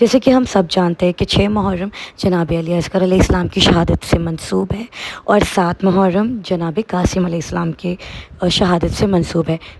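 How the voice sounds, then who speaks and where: Noticeable background noise behind a woman's medium-pitched voice, fairly even in intonation, at a moderate pace. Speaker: vlogger. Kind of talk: vlog narration.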